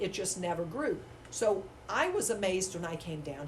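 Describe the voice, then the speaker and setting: A woman with an American accent and a medium pitch speaks over noticeable background noise, with audible room echo. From US South, Wilmington, North Carolina. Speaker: school testing coordinator, former math teacher. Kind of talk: casual interview. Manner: hesitant, many fillers.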